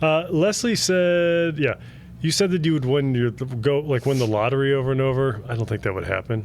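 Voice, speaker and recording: Medium-pitched man with a Cleveland accent, lively intonation and a moderate pace. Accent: narrow vowels, Cleveland style. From Cleveland, Ohio, US Midwest. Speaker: podcast co-host. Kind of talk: casual chat.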